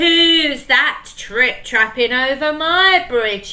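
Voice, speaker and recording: A woman's gruff, bellowing put-on character voice, high in pitch, at a very slow pace over light background noise. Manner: bellowing, gruff.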